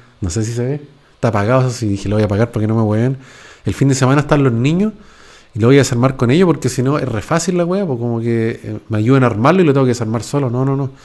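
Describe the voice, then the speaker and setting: A man with a Chilean accent talks at a very fast pace, his pitch varying in an ordinary way. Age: 40s. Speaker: YouTuber; podcast host. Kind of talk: casual monologue. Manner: casual, slangy. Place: home room. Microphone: close to the mic; studio mic.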